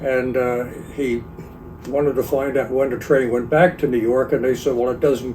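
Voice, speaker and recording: A man with an American accent and fairly even intonation, against noticeable background noise. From Pennsylvania, Monroe County. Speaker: retired real estate agent, local elder. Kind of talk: oral history interview.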